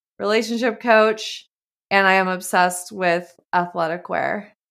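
A woman's plain, everyday voice with an American accent, fairly even intonation and a moderate pace, on a very clean recording with a silent background. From Montana. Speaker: clinical psychologist and relationship coach. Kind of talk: casual interview.

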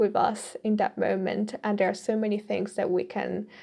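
A woman with a slight Italian accent against a quiet background. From Italy. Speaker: podcaster. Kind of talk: solo commentary. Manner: hesitant with fillers.

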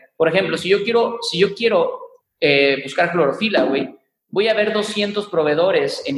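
A high-pitched man at a moderate pace. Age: 20s. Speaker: tech entrepreneur. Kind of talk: interview.

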